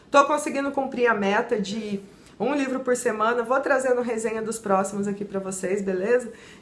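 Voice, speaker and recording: Noticeable background noise sits behind a woman speaking at a fairly high pitch and moderate pace. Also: ordinary pitch variation. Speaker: book reviewer, YouTuber. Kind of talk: book review vlog. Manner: animated.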